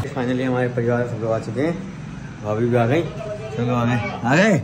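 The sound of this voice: A medium-pitched man's voice at a moderate pace, with ordinary pitch variation and audible room echo.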